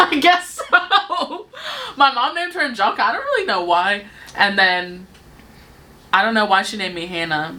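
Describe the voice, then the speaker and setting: Against noticeable background noise, a woman with a fairly high pitch talks at a moderate pace, her pitch swinging very widely. Her loudness shifts a lot, and she takes long, frequent pauses. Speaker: beauty youtuber. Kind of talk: casual chat.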